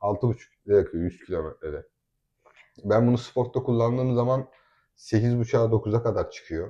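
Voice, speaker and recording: A man speaks at a fairly quick pace in a medium pitch, his somewhat breathy voice dark and mellow in tone, with ordinary pitch variation. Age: 20s. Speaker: family vlogger. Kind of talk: casual chat. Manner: animated.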